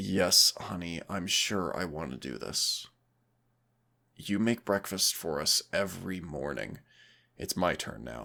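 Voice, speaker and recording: In a raspy, put-on character voice of very deep, low pitch, a man talks at a fairly slow pace with lively intonation and long, frequent pauses. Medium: solo performance. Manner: warm, gentle, affectionate.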